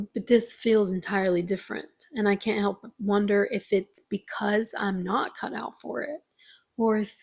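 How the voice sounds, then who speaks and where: A woman with an American accent speaks at a medium pitch and moderate pace, somewhat breathy, with ordinary pitch variation. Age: 20s. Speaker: vlogger. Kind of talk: casual vlog monologue. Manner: halting.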